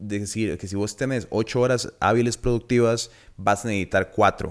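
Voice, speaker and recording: A man speaks with a Costa Rican accent. His pitch is fairly low and his pace moderate. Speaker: podcast host. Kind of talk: casual chat.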